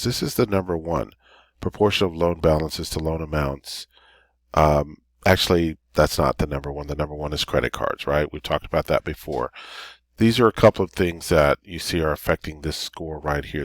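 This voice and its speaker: Very deep and low, this man's voice moves at a fairly quick pace with ordinary pitch variation in a dry, close sound with no echo. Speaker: credit repair advisor. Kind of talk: tutorial. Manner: fast.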